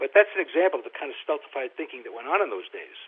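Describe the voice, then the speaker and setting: In a New York accent, a man rattles off his words at a very fast pace. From New York (Brooklyn). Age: 70s. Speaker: film producer and author. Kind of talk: interview.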